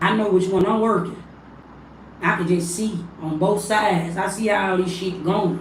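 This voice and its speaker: Speaking at a moderate pace with fairly even intonation, a woman with a medium-pitched voice is heard over noticeable background noise and audible room echo. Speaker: spiritual livestreamer. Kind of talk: casual livestream monologue. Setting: livestream.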